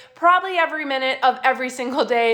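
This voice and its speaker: A woman talks in an animated tone at a fairly quick pace with ordinary pitch variation, amid noticeable background noise. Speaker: essential oils class presenter. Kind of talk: live online class. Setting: Facebook live stream. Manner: fast.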